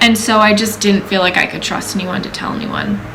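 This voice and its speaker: Over noticeable background noise and audible room echo, a woman talks at a fairly quick pace with a medium pitch and fairly even intonation. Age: 20s. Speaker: vlogger sharing personal story. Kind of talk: personal testimony. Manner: casual, conversational with many fillers.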